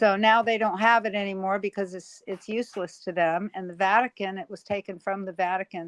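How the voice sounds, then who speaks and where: A woman at medium pitch talks at a very fast pace with hardly any pauses, fairly even intonation and big swings in loudness, in a dry, close sound with no echo. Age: 70s. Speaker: live stream panel host. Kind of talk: casual chat.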